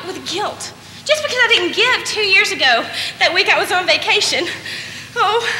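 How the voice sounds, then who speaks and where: A woman speaks at a moderate pace in a raised, projected voice with lively intonation, with audible room echo and light background noise. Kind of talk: comic theatrical monologue. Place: stage. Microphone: camera far.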